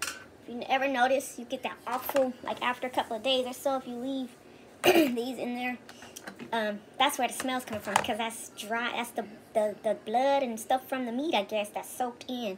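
The voice moves at a moderate pace with fairly even intonation, and noticeable background noise can be heard. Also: woman, high pitch for a woman. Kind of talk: casual cooking tutorial chat. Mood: relaxed, joking. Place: kitchen. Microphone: phone near.

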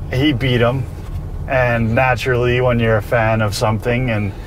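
A man's voice with a dry sound and no echo, set against noticeable background noise. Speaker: guest. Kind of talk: casual storytelling interview answer. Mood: relaxed, laughing. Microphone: lapel.

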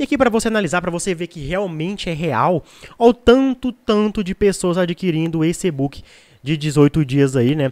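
Against a quiet background, a man with a high pitch speaks at a moderate pace. His intonation is lively. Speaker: product promoter. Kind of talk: sales pitch. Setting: video, online. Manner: persuasive, repetitive, pitchman style; halting, filler-filled. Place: home room. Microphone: studio mic.

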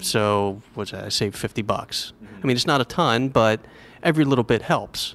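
This is a plain, everyday voice with ordinary pitch variation. The pace is fairly quick. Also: man, medium pitch for a man. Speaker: travel blogger. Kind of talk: casual interview. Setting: breakfast nook at a hotel.

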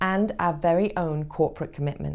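A woman speaks with a British accent and vocal fry. Her pace is fairly quick, with ordinary pitch variation. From United Kingdom. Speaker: voice actor. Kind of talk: corporate training narration. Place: studio. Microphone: lapel.

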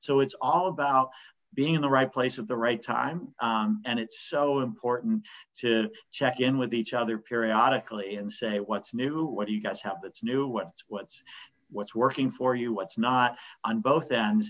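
With an American accent, a man speaks at a moderate pace in a medium pitch with ordinary pitch variation and a normal speaking voice. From Pittsburgh, US. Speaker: business owner. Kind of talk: webinar panel discussion. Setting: video call.

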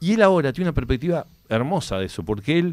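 Against a quiet background, a man talks at a very fast pace with lively intonation. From Uruguay. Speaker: author of a biography; interview guest. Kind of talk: radio interview, casual chat; interview answer. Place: studio. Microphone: studio mic.

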